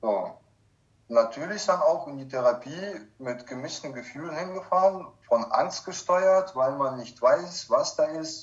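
A man's fairly high voice at a very slow pace, with lively intonation. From Kazakhstan, moved to Germany in 1995 as a child. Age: 30s. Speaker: recovering alcoholic sharing his life story. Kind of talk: personal testimony in interview.

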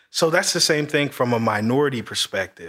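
A man with an American accent speaks in a bright, sharp tone with vocal fry, on a very clean recording with a silent background. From Marion, Indiana. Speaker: real estate agent. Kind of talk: casual chat.

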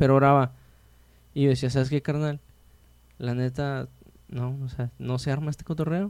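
Pausing long and often, a man with a fairly high pitch keeps a moderate pace and fairly even intonation. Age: 20s. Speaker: podcast host. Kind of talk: casual interview chat.

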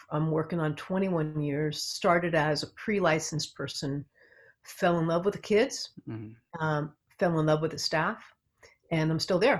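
With an American accent, a woman talks at a moderate pace. Her very deep, low voice keeps a fairly even intonation. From US West Coast, Los Angeles area. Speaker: psychotherapist. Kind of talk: interview.

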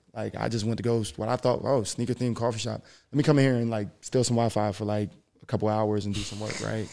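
A man talks at a very fast pace in a monotone, flat intonation. His voice sits at medium pitch with a dark, mellow tone. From South Jersey (Philadelphia area). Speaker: podcast guest, former athlete. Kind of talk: casual chat.

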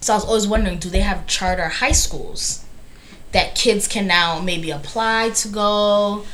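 A woman with an American accent talks at a moderate pace in a medium voice with fairly even intonation, amid audible room echo and noticeable background noise. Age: 30s. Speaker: podcast co-host. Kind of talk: casual chat.

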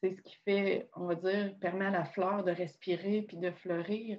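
Delivered with flat, monotone intonation, the speech proceeds fairly slowly. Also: woman. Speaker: podcast host. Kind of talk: casual chat.

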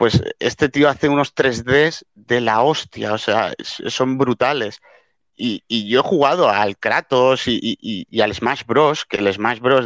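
Recorded dry and close with no echo against a quiet background, a man with an ordinary speaking voice talks at a fairly slow pace, medium in pitch, with ordinary pitch variation. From Spain. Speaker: NFT art collector. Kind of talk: casual chat. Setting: online audio room.

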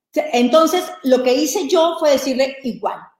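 A woman speaks at a high pitch. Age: 40s. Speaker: business coach. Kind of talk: live stream talk.

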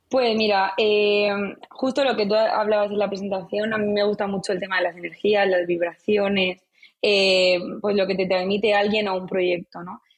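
A woman with a medium pitch speaks at a moderate pace in a monotone, flat intonation. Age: 20s. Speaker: marketing agency founder. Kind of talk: interview.

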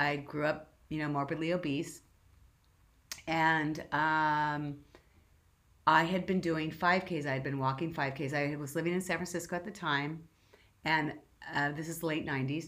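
A woman speaks in a Californian accent at a very deep, low pitch, with monotone, flat intonation. Her pace is moderate, broken by long, frequent pauses. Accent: Californian American English. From Southern California. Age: 50s. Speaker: marathon runner. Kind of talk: interview.

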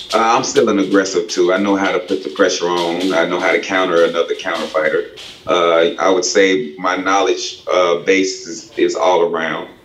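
Noticeable background noise and audible room echo around a man with an American accent, his pace moderate. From Spartanburg, South Carolina. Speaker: pro boxer and coach. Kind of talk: casual interview. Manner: halting, many repetitions and fillers.

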